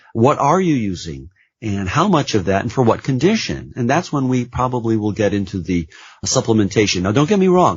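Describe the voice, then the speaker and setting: Speaking at a fairly quick pace, a man with a medium pitch sounds somewhat breathy. His pitch swings very widely. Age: 60s. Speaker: nurse practitioner. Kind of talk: interview.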